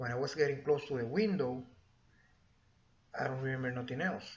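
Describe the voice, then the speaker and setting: A man with a Spanish accent at medium pitch, amid audible room echo. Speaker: YouTuber sharing experiences. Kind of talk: personal storytelling. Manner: halting, casual.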